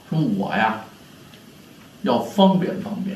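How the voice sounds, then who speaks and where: A high-pitched man speaks at a very slow pace against noticeable background noise. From Beijing. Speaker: pingshu storyteller. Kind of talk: pingshu storytelling.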